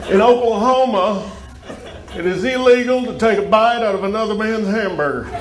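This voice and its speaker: Noticeable background noise surrounds a man with an American accent. He speaks at a moderate pace with a high pitch and ordinary pitch variation. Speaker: stand-up comedian. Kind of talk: stand-up comedy set for a live audience. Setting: live event, audience present. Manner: upbeat, jokey, comic delivery.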